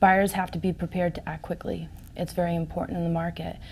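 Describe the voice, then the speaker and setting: Somewhat breathy and fairly low-pitched, a woman speaks at a moderate pace with monotone, flat intonation. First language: Portuguese. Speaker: real estate agent. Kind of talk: interview.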